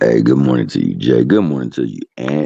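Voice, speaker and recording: A man's raspy put-on character voice, very deep and low, with ordinary pitch variation at a fairly quick pace. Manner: smooth, quiet-storm radio host.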